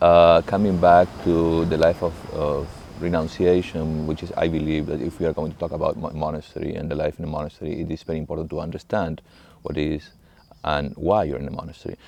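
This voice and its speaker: Speech in an Argentine accent comes at a very fast pace with monotone, flat intonation. Noticeable background noise runs underneath. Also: man, very deep, low pitch for a man. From Argentina, Buenos Aires. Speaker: monk, monastery abbot. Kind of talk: interview monologue on spirituality. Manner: halting, many fillers and restarts.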